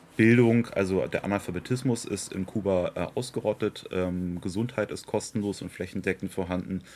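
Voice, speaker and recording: A man's fairly low-pitched voice at a moderate pace, with hardly any pauses, in a very clean recording with a silent background. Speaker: local party politician. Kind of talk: interview. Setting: outdoors in a garden. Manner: animated.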